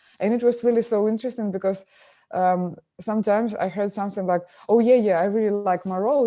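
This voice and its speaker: Talking at a fairly quick pace, a woman with a Ukrainian accent holds a medium pitch. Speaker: film director. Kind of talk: interview. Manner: halting, many fillers.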